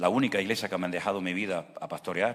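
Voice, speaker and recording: The intonation stays fairly even. The pace is very fast. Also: man. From Venezuela. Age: 60s. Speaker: pastor. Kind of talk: sermon.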